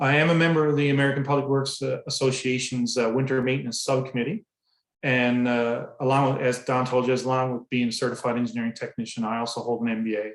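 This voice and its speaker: This man talks at a very fast pace in a Newfoundland accent. His pitch is medium and his intonation fairly even. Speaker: public works director. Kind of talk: presentation. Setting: online presentation.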